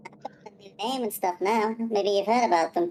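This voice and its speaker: A woman's put-on character voice, medium in pitch, at a moderate pace. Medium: actual play.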